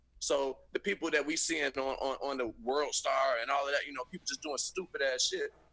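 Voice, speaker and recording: A man with an American accent and a fairly high pitch talks at a fairly quick pace with hardly any pauses and ordinary pitch variation. Noticeable background noise is present. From Chicago, US. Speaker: guest. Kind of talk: casual chat. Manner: halting.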